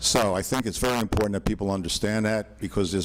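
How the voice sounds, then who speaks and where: Vocal fry runs through this man's fairly low voice as he speaks very fast with ordinary pitch variation. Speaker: attorney. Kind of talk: public comment presentation. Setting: town board meeting hall with PA.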